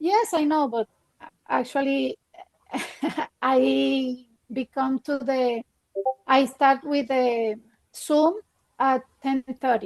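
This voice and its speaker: Speaking at a high pitch with a non-native accent, a woman goes at a very slow pace with ordinary pitch variation and long, frequent pauses. The sound is dry and close, with no echo. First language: not English. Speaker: trading student. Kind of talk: casual chat. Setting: video call. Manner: halting.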